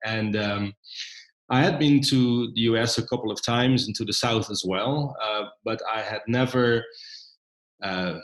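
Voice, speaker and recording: A man with a Dutch accent speaks fairly slowly at a medium pitch. He leaves long, frequent pauses, and his pitch varies in an ordinary way. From Netherlands. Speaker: documentary filmmaker. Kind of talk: interview. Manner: frequent hesitations.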